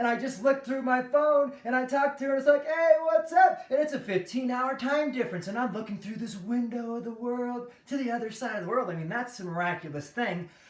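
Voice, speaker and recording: Noticeable background noise is present. The voice has an American accent. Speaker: online video host. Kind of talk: casual monologue.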